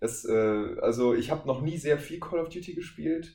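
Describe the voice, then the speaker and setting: A man speaks with a fairly high pitch, a dark, mellow tone, and vocal fry. His intonation is lively, and the room echo is audible. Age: 20s. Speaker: voice actor. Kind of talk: casual chat.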